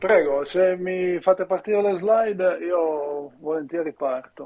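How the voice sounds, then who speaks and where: Against noticeable background noise, a man with a high pitch speaks at a very slow pace with ordinary pitch variation. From Italy. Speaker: university professor and researcher. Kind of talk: remote lecture presentation. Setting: video call from the US. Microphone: strong echo in headphones.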